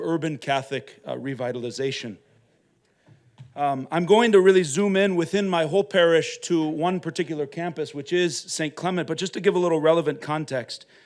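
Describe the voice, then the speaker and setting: A man at a fairly high pitch, very fast, with ordinary pitch variation, on a very clean recording with a silent background. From Minnesota, US Upper Midwest. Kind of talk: conference talk. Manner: loud.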